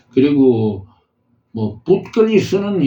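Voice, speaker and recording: This somewhat breathy voice has a dark, mellow tone. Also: man. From Gyeongsang province, South Korea. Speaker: calligraphy teacher, YouTuber. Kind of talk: tutorial. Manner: hesitant, many fillers.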